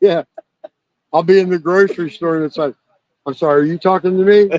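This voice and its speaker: Loud and fairly quick, a man speaks at a high pitch. His intonation stays fairly even. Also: dry, close sound with no echo. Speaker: shooting competitor. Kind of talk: casual chat.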